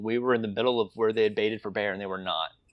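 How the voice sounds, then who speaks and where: This man's voice sits at a medium pitch and rises and falls in an ordinary way. He speaks very fast. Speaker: independent filmmaker. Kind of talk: interview. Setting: remote call.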